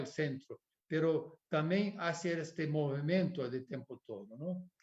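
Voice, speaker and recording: Very slow pace from a man with a fairly high pitch and ordinary pitch variation. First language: Portuguese (speaking Spanish). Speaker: architect. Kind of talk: lecture. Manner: halting.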